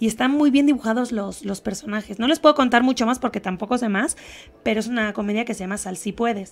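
Speaking at a very fast pace, a woman uses a fairly high pitch. Her pitch variation is ordinary. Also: big swings in loudness. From Spain. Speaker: actress. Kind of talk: TV interview; interview answer. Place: studio. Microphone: handheld.

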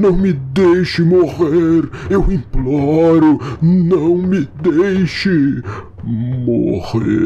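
A man uses a put-on character voice, fairly high and at a very slow pace. Background noise is clear. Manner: pleading, begging.

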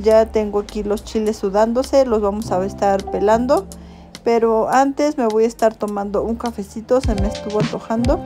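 Over clear music in the background, a woman talks at a moderate pace with fairly even intonation. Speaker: family vlogger. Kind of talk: casual vlog chat. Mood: cheerful, amused.

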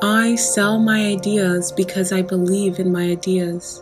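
With music in the background, a woman speaks at a fairly slow pace in a calm, soothing tone. Her pitch is medium and her intonation monotone and flat. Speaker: affirmations and meditation coach. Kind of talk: guided affirmations. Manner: calm, slow, soothing.

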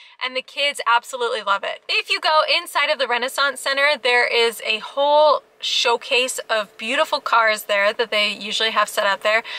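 Raised and projected, a woman's high-pitched voice comes across bright, sharp and upbeat at a moderate pace, with ordinary pitch variation and a dry sound with no echo. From Alaska. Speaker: family travel vlogger. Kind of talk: travel vlog narration. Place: car. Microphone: phone near.

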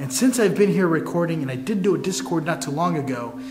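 A man talks at a fairly quick clip. Faint music sits in the background. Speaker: paranormal explorer vlogger. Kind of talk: casual vlog chat. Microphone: camera far.

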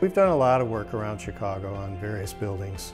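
Clear music plays behind a man whose pitch varies in an ordinary way. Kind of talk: interview answer. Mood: calm, professional. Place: office.

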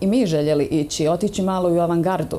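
At a moderate pace, a woman speaks with a Bosnian accent and ordinary pitch variation. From Bosnia and Herzegovina. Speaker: dance instructor. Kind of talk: TV interview. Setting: studio. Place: studio.

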